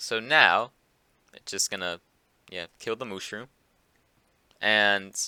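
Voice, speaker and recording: With long, frequent pauses and big swings in loudness, a man talks at a very slow pace in a fairly low pitch, his tone bright and sharp, his pitch variation ordinary, the sound dry and close with no echo. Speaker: Minecraft command block tutorial maker. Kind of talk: casual game tutorial narration. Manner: hesitant, many filler words.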